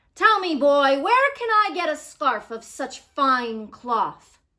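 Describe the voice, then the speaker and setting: A woman's high, raised, projected put-on character voice. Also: fairly slow pace. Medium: read story. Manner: bossy, snappish.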